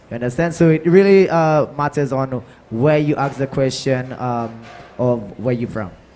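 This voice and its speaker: The speaker has a Saint Lucian accent. The pace is moderate, with ordinary pitch variation. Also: man, medium pitch for a man. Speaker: soca artiste. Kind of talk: panel discussion.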